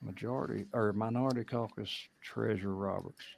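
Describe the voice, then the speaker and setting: Speaking with an American accent, a man keeps a moderate pace, a medium pitch, and fairly even intonation. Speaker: state legislator. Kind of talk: committee hearing. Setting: legislative committee room. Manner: formal.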